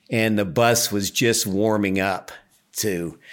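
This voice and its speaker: On a very clean recording with a silent background, a man with an ordinary speaking voice talks at a fairly low pitch with ordinary pitch variation. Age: 60s. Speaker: river guide and boat outfitter. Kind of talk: casual interview.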